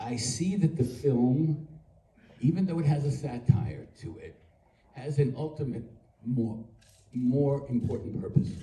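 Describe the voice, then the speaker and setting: In a room with audible echo, a man's dark, mellow, somewhat breathy voice comes in big swings of loudness, broken by long, frequent pauses. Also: medium pitch for a man, ordinary pitch variation, fairly slow pace. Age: 80s+. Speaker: actor at a fan convention panel. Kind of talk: panel Q&A remarks. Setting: convention stage with audience.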